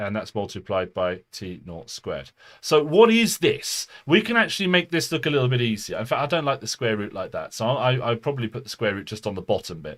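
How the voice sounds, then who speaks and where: A man with a British accent talks at a fairly quick pace with hardly any pauses, his pitch medium but swinging very widely. His loudness rises and falls sharply, and there is vocal fry. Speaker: physics tutor. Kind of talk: live online tutorial. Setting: home live stream, under the stairs. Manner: fast.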